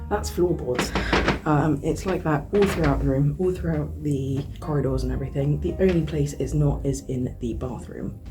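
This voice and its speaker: Quiet English-accented speech at a moderate pace, with music in the background. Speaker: artist vlogger. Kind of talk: vlog. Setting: hotel room.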